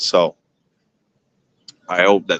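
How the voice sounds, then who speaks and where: A man with a slight Quebec accent is heard in a dry, close sound with no echo. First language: French. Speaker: livestreamer. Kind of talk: live street stream commentary. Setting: outdoors at a protest. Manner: hesitant, many fillers.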